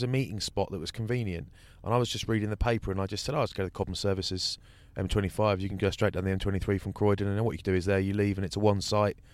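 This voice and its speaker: A man with an English accent, fairly low-pitched, talking very fast on a very clean recording with a silent background. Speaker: rugby pundit. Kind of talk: casual chat.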